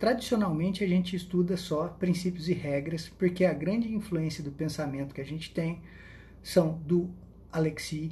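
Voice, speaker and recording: A man's dark, mellow tone with a high pitch, ordinary pitch variation and a moderate pace, plus audible room echo. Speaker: law professor. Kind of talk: lecture. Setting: Instagram live stream.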